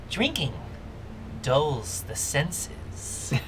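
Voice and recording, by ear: A put-on character voice at a low-to-middle pitch comes through loud background noise.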